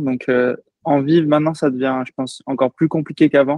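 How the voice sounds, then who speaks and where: The man talks at a moderate pace with medium pitch. His intonation is monotone and flat. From French Antilles, Saint-Martin. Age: 20s. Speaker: professional triathlete. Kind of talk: podcast interview. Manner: hesitant, many fillers.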